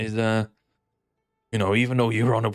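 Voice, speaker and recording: Over a very clean recording with a silent background, a man speaks with a Welsh accent in a fairly low voice and an animated tone. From Wales. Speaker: slots gambling streamer. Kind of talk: casual commentary while gambling. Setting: home recording with speakers. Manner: animated, swearing.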